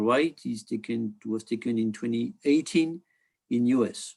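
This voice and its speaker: With a French accent, a man speaks at a fairly slow pace and medium pitch, his pitch varying in an ordinary way. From France. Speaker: optics industry director, presenter. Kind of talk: webinar presentation. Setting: online webinar. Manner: halting, many fillers.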